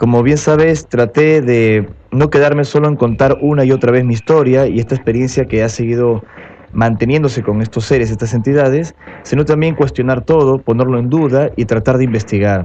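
Noticeable background noise sits under a man's medium-pitched voice, which moves at a fairly quick pace with fairly even intonation and very even loudness. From Peru (Lima). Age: 30s. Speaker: UFO contactee, speaker. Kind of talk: radio interview. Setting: radio studio.

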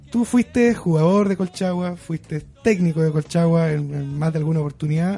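Speaking at a fairly slow pace, a man with a high, dark and mellow voice shows ordinary pitch variation. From Chile, San Fernando. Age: 30s. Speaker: radio host. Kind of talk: radio interview. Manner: hesitant, many fillers.

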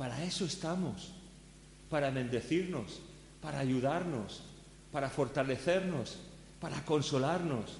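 A man speaks at a fairly slow pace in a fairly high, somewhat breathy voice with ordinary pitch variation. He takes long, frequent pauses, and audible room echo is present. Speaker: pastor. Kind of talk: sermon.

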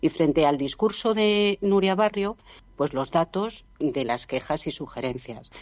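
A woman with an ordinary speaking voice goes at a fairly slow pace, her intonation lively. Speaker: local opposition politician and professor. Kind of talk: radio panel debate. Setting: remote connection from another city.

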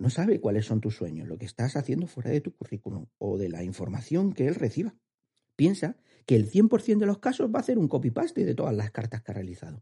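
In a dry, close recording with no echo, a man speaks at a fairly quick pace in a medium-pitched, somewhat breathy voice with a dark, mellow tone and very wide pitch swings. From Andalusia, Spain. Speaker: HR podcast host, career advisor. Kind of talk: podcast monologue, advice.

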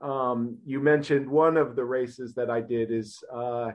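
With a Midwestern American accent, a man talks at a medium pitch and a fairly slow pace in monotone, flat intonation. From US Midwest, Ohio. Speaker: business executive and marathon runner. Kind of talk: interview.

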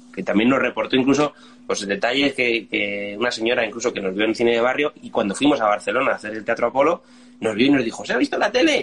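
With noticeable background noise around him, a man talks very fast at a medium pitch. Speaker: band musician. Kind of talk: casual interview.

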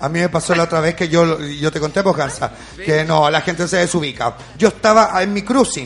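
A man's high pitch at a fairly quick pace, over noticeable background noise. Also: ordinary pitch variation. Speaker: podcast host. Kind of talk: casual chat. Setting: studio.

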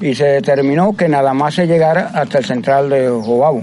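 With noticeable background noise around him, a man talks at a moderate pace in a fairly high pitch. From Cuba, Las Tunas province. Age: 70s. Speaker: water utility worker. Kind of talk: interview.

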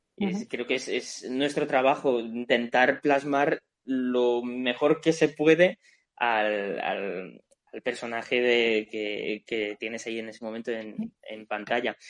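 The speaker goes at a very slow pace, with ordinary pitch variation and big swings in loudness. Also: man, medium pitch for a man, dry, close sound with no echo. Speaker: voice actor. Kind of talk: casual chat.

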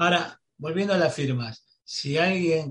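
With ordinary pitch variation, a man talks very slowly in a somewhat breathy voice. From Buenos Aires, Argentina. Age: 50s. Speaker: radio host. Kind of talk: radio interview.

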